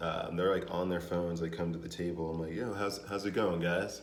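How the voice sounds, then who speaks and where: A man's very deep, low voice at a moderate pace, with audible room echo. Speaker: vlogger, restaurant manager. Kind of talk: casual vlog monologue. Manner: casual, hesitant with fillers.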